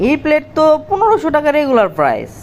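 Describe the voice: A woman uses a cartoonish character voice, high-pitched and fast, with very wide pitch swings. Faint background noise can be heard.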